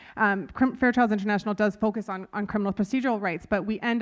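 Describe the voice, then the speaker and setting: A woman's unremarkable speaking voice at medium pitch, with an American accent, fairly even intonation and a quiet background. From United States. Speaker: lawyer and panelist. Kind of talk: conference panel talk. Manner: casual with many fillers.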